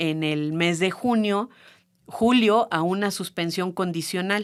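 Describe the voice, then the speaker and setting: A woman talks very slowly at a medium pitch. The recording is very clean, with a silent background. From Mexico, San Luis Potosí. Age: 30s. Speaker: feminist activist, childcare worker. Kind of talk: podcast interview. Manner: hesitant, many fillers.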